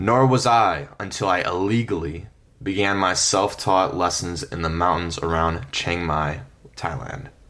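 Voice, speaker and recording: With audible room echo around him, a man speaks in a very deep, low pitch with a bright, sharp tone. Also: ordinary pitch variation, fairly slow pace. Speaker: travel storytelling podcaster. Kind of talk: scripted narration.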